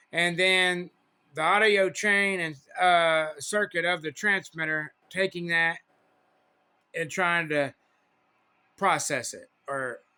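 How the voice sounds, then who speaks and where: A man speaks at a very slow pace with long, frequent pauses and a high pitch. The recording is very clean, with a silent background. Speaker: CB radio hobbyist. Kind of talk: casual talk to camera. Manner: animated, repetitive.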